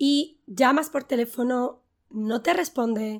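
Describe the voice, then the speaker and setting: A woman's bright, sharp tone at a very slow pace, with lively intonation, in a very clean recording over a silent background. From Spain. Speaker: online Spanish teacher. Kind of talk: language lesson. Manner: clear, didactic.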